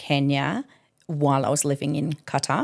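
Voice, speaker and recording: In an Australian accent, a woman speaks with a very deep, low pitch and monotone, flat intonation. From Adelaide, Australia. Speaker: educator and artist manager. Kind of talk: interview answer.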